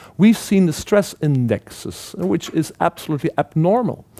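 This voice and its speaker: With very wide pitch swings, a man speaks at a moderate pace in a fairly high pitch. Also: dry, close sound with no echo. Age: 50s. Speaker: trend researcher, keynote speaker. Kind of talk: keynote presentation. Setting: stage with audience. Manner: halting, with many repetitions.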